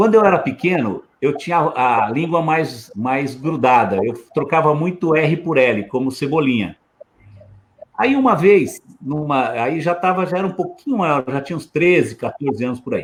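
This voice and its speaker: Using a normal speaking voice, a man keeps a moderate pace and lively intonation. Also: fairly high pitch for a man. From Osasco, São Paulo, Brazil. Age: 60s. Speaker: lawyer and former politician. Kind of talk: casual chat.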